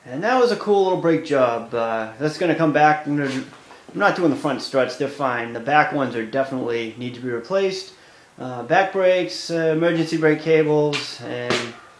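A man at a moderate pace with hardly any pauses, plus audible room echo and light background noise. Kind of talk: tutorial. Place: garage. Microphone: phone near.

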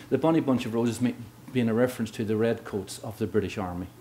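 A man with a Northern Irish accent, medium pitch, a dark, mellow tone and ordinary pitch variation. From Northern Ireland, Belfast. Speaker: history professor. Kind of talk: lecture. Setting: lecture hall with audience. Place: hall. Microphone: podium.

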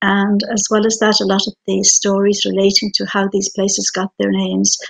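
The speaker has a western Irish accent and keeps a moderate pace. The background is quiet. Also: woman. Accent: Connemara Irish English. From Ireland, Aran Islands; Ireland. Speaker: writer; guest. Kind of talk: panel discussion. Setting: video call. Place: home room. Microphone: video call.

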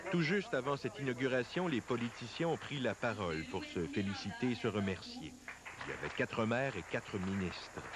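Medium-pitched male voice with very wide pitch swings, over noticeable background noise. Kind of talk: TV news reporting, scripted voice-over. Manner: formal, measured newsreading pace.

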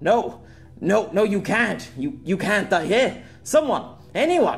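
Putting on a character voice, a man speaks slowly at a high pitch for a man, with big pitch swings and vocal fry, as faint music plays in the background.

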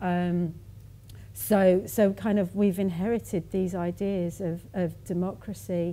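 A woman's dark, mellow voice sits at a fairly low pitch with ordinary pitch variation, over light background noise. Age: 40s. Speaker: conversation moderator. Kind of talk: public conversation. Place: hall.

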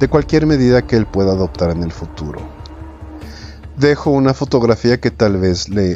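The voice reads aloud naturally, its intonation lively throughout.

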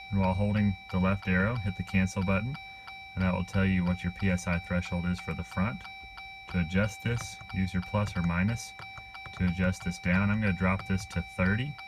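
Moderate pace over noticeable background noise. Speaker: vehicle owner demonstrating a tool. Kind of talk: tutorial. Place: car. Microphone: phone near.

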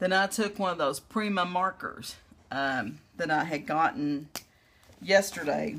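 With vocal fry and lively intonation, a woman with a fairly low pitch speaks at a fairly slow pace over light background noise. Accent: American. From US South. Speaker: craft video creator; crafter demonstrating. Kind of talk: tutorial; casual tutorial chat. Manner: casual with fillers. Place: home room. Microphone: phone near.

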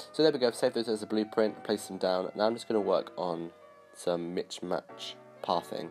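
A man speaks in a fairly low voice at a moderate pace, with ordinary pitch variation. Music plays in the background. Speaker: video game builder. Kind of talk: gameplay commentary. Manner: casual, hesitant.

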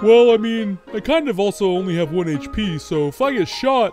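A put-on character voice at a fairly high pitch speaks at a moderate pace with clear music in the background. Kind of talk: comic dub. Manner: laid-back, hesitant.

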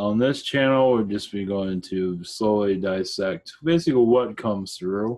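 Against a quiet background, a man talks at a moderate pace in a fairly low voice with ordinary pitch variation. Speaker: channel host. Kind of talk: casual vlog chat. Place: home room. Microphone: webcam.

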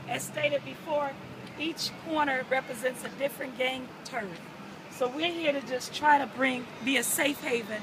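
A woman's voice against noticeable background noise. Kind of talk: interview answer. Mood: earnest, passionate. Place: street. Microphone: phone near.

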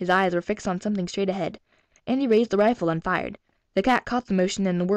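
Over a quiet background, this is a natural reading voice with ordinary pitch variation.

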